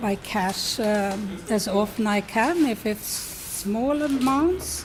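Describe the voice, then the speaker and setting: A woman with a Swedish accent speaks very slowly in a fairly high voice, with noticeable background noise behind her. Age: 70s. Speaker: retiree interviewee. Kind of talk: documentary interview. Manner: halting.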